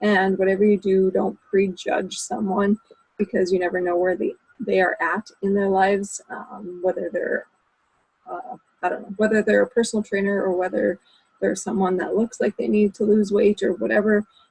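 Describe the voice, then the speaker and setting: A woman speaks at a moderate pace and a medium pitch, her intonation fairly even and her voice somewhat breathy. The sound is dry and close, with no echo. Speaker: team leader coaching a sales team. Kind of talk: team call pep talk. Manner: hesitant with many fillers.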